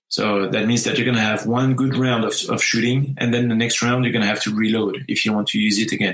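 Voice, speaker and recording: Monotone, flat intonation at a very even loudness, with hardly any pauses. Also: man, medium pitch for a man. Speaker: wargaming podcast host. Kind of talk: casual podcast chat. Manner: halting, many fillers.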